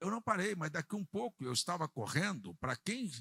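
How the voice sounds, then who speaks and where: A man's bright, sharp tone with very wide pitch swings, in a dry, close recording with no echo. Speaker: pastor. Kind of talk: sermon. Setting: church. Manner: slow.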